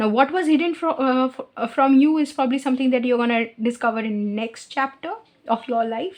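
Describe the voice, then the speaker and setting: Speaking at a fairly quick pace with a non-native accent, the voice shows ordinary pitch variation. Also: woman, high pitch for a woman. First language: not English. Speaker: tarot reader. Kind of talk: tarot reading. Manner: halting, with fillers.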